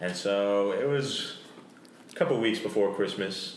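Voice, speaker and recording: A man's fairly low voice against noticeable background noise. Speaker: host's brother.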